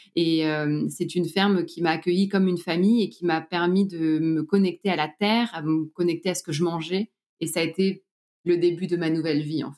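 A plain, everyday voice at a moderate pace, with fairly even intonation and big swings in loudness. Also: woman, fairly low pitch for a woman. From Normandy, France. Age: 30s. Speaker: organic farmer and entrepreneur. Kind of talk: interview testimony.

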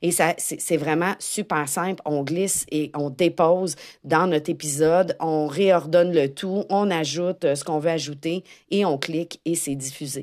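A woman with a Quebec accent speaks at a fairly slow pace and a fairly low pitch with fairly even intonation. The recording is very clean, with a silent background. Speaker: podcast host, tech-savvy educator. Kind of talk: casual solo podcast monologue.

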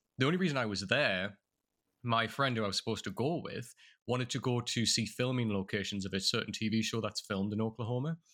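A man with a North East England accent talks at a very fast pace in a medium-pitched voice with ordinary pitch variation. His tone is bright and sharp, and the recording is very clean with a silent background. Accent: North East English, milder than Geordie. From northeast England. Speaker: content creator and model. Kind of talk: casual interview chat.

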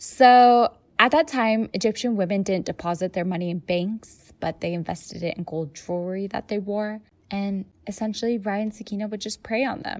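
A woman with an American accent at medium pitch, with ordinary pitch variation and a moderate pace. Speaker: podcast host. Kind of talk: casual chat.

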